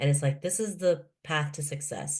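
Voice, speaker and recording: A woman with a Canadian accent speaks at a moderate pace in a very deep, low, somewhat breathy voice. Her pitch varies in an ordinary way. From Canada, Toronto (moved from Philippines at 7). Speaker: author and keynote speaker. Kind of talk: podcast interview.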